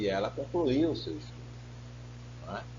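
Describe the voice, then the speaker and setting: Audible room echo surrounds a man speaking with vocal fry. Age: 50s. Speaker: pastor. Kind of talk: sermon.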